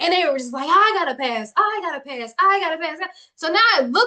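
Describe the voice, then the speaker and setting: This woman's raised, projected voice has a bright, sharp, animated tone and swings very widely in pitch. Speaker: livestream coach. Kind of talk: motivational livestream talk. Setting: live video stream with chat. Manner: loud.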